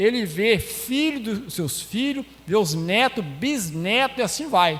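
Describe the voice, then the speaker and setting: Speaking very slowly, a man with a high pitch makes very wide pitch swings amid noticeable background noise and audible room echo. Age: 60s. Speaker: lay preacher. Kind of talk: sermon.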